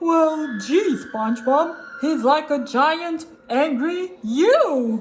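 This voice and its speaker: The speaker uses a put-on character voice. The delivery comes at a very slow pace. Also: woman. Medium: read story. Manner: slow, simple, dopey.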